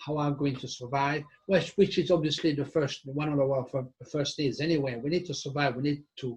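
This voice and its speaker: Intonation stays fairly even in this somewhat breathy voice. The pace is fairly quick. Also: man, fairly high pitch for a man. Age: 60s. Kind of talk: casual discussion. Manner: halting.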